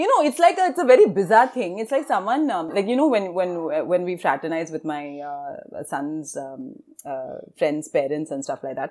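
A woman's medium-pitched voice with very wide pitch swings, big swings in loudness, a moderate pace and hardly any pauses. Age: 30s. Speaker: stand-up comedian. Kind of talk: casual chat.

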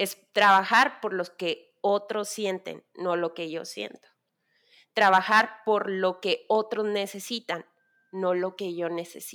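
In a bright, sharp tone, a woman at medium pitch speaks at a very slow pace with fairly even intonation. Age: 30s. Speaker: worship leader and designer. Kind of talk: casual chat.

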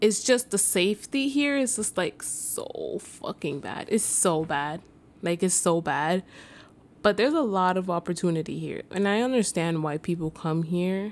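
A woman talks in a New York accent at medium pitch. Her intonation is lively. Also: moderate pace. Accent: New York (Bronx). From New York City (the Bronx). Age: 20s. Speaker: podcast host. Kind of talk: casual monologue.

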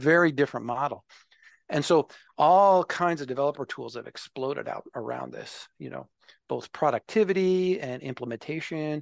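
A man with an American accent and fairly high pitch talks at a moderate pace in a dry, close sound with no echo and a quiet background. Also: ordinary pitch variation. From Minnesota, US Midwest. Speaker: software developer advocate, navy veteran. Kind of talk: interview conversation. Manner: halting, many fillers.

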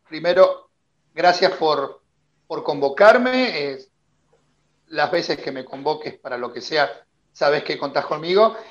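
With an Argentine accent, a man with a fairly high pitch uses lively intonation and big swings in loudness. He moves at a fairly slow pace, with long, frequent pauses. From Argentina. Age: 50s. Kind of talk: casual interview.

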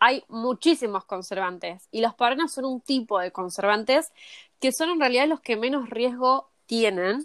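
The sound is dry and close with no echo as a woman speaks at a high pitch, at a moderate pace, with lively intonation. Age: 20s. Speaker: cosmetologist. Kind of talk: interview.

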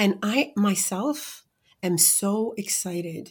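In a very clean recording with a silent background, a woman speaks with an American accent. Her voice is somewhat breathy. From US Midwest (Iowa). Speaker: entrepreneurship researcher and report author. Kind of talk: interview conversation.

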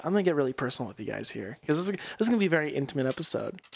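Raspy and fairly high, a man's put-on character voice races at a very fast pace with very wide pitch swings. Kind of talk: smooth jazz radio DJ. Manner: intimate, seductive.

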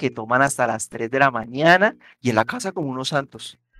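With lively intonation, a man speaks at a moderate pace. The sound is dry and close, with no echo. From Colombia, Bogotá and Yopal. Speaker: podcast host, sociology student. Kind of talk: casual chat.

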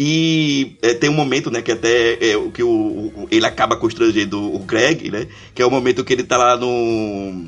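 With a plain, everyday voice, a man speaks at a medium pitch and a moderate pace, with ordinary pitch variation and hardly any pauses. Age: 40s. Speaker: podcast co-host. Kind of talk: casual chat.

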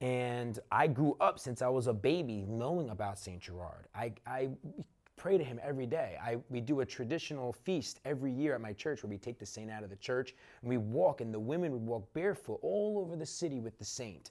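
A man with an American accent speaks at a medium pitch in an ordinary speaking voice. His pace is fairly quick and his intonation lively. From Newark, New Jersey. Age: 30s. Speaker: entrepreneur. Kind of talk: interview.

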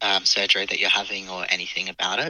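Here a man speaks with an Australian accent. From Australia, Adelaide. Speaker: guest sharing lived experience. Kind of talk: personal interview. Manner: halting, many fillers.

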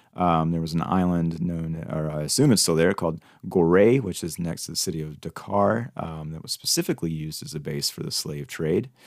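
With an American accent, a man talks at a fairly quick pace with hardly any pauses, his very deep, low pitch moving with ordinary variation over a very clean recording and a silent background. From United States. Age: 40s. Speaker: podcast host. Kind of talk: scripted narration; casual chat.

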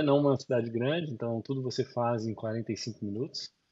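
A man's somewhat breathy, medium-pitched voice at a moderate pace with ordinary pitch variation. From Brazil. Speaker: business consultant and entrepreneur. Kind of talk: interview. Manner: halting.

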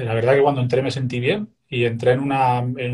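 Somewhat breathy and dark, mellow in tone, the voice moves at a fairly quick pace with fairly even intonation. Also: man. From Spain, Castellón. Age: 40s. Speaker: Buddhist meditation teacher. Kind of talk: interview. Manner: frequent hesitations and repetitions.

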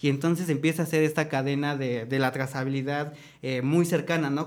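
At a moderate pace, a man speaks in an ordinary speaking voice with a fairly high pitch. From Mexico, State of Mexico. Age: 20s. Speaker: chef. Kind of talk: casual panel discussion.

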